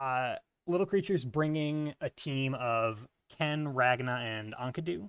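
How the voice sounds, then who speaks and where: A quiet man speaks at medium pitch on a very clean recording with a silent background and a dry, close sound with no echo. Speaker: tournament organizer and commentator. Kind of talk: live game commentary. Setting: live stream. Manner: quiet talker.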